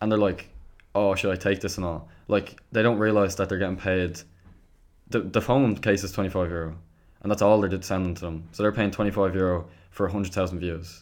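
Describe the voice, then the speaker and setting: A man speaks with a very deep, low pitch. His pace is moderate and his intonation fairly even. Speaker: social media creator. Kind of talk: casual chat. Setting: video call.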